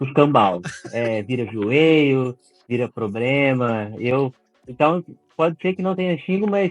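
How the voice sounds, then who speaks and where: A man's fairly high voice at a very slow pace, with lively intonation and a dry, close sound with no echo. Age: 20s. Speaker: book content creator. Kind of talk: casual interview.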